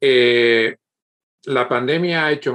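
A man speaking at a very slow pace. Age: 50s. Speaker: podcast host. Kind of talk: interview. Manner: halting, many repetitions.

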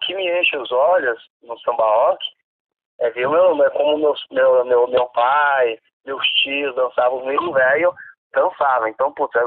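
A man's fairly high-pitched, normal speaking voice at a fairly slow pace, with ordinary pitch variation. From São Paulo, Zona Oeste. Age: 40s. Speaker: samba rock dance teacher. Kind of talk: casual interview chat.

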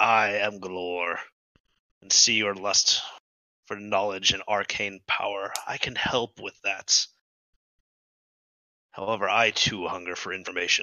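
Using a put-on character voice, a man speaks fairly low and fairly slowly. His intonation is monotone and flat, with long, frequent pauses. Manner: cryptic, mysterious.

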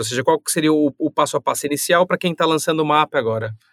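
An ordinary speaking voice from a man, fairly high in pitch with ordinary pitch variation, in a dry, close sound with no echo and a very clean recording with a silent background. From São Paulo, Brazil. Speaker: podcast co-host. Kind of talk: casual podcast chat.

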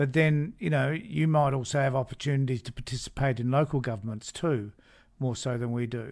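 This man talks at a fairly quick pace in an Australian accent, with a medium pitch and ordinary pitch variation. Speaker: podcast host and minor party figure. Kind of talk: interview. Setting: video call.

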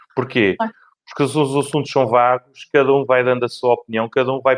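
The sound is dry and close with no echo. A man at a medium pitch speaks in a monotone, flat intonation. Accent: Lisbon. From Portugal, Lisbon. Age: 40s. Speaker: outsourcing manager. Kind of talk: interview. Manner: talkative.

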